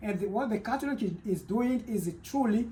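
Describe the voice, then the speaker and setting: A man with a Congolese accent at a moderate pace and ordinary pitch variation. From Democratic Republic of the Congo. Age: 30s. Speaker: teacher and church worker. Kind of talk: interview. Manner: loud.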